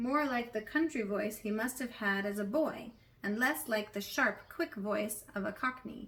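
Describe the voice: Someone plainly reads a passage aloud.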